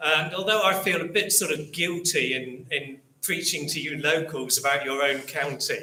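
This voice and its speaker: This man speaks with an English Midlands accent at a fairly high pitch. His pitch variation is ordinary. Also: moderate pace, hardly any pauses. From English Midlands, Rugby. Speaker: local history author and speaker. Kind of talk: public talk. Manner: hesitant, many ums and repeats.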